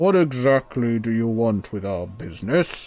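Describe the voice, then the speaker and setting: Doing a put-on character voice, a man speaks at a medium pitch and a moderate pace with lively intonation. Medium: actual play. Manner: curt, hostile.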